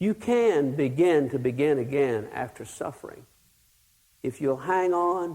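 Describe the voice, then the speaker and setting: A man with a Texan accent speaks very slowly in a dark, mellow tone. His pitch is fairly high and his intonation lively. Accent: Texan Southern US. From Texas. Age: 60s. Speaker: pastor. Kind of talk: sermon.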